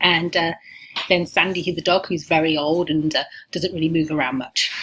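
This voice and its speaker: A woman with an English accent, fairly low pitch, and a fairly quick pace. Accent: English accent, still noticeable. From England. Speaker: university lecturer. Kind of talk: recorded course welcome talk. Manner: frequent filler words, casual.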